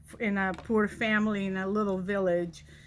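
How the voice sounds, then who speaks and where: A woman with a Spanish accent speaks at medium pitch and a moderate pace, her intonation fairly even. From Spain. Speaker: college vice president of instruction. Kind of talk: personal storytelling address.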